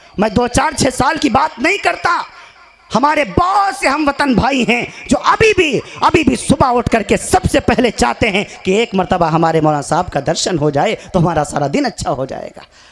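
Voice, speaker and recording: A man's voice at an extremely high pitch, swinging very widely in pitch, over noticeable background noise. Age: 20s. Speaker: Islamic preacher. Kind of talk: religious speech at a gathering. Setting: stage with audience. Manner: declamatory, repetitive oratory.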